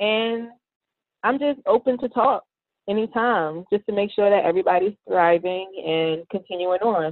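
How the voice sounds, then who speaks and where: Moderately paced speech from a woman, medium in pitch with ordinary pitch variation and a plain, everyday voice. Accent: American. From US, Baltimore, Maryland. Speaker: engineering PhD student. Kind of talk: interview.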